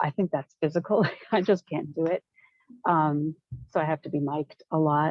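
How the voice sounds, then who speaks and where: Soft-spoken, a woman talks at a very deep, low pitch and a moderate pace. Her pauses are long and frequent. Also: fairly even intonation. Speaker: trainee facilitator. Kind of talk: group discussion.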